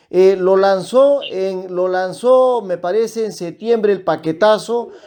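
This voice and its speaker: The voice carries a dark, mellow tone. It moves at a fairly slow pace with ordinary pitch variation. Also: man. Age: 60s. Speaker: economist. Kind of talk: radio interview.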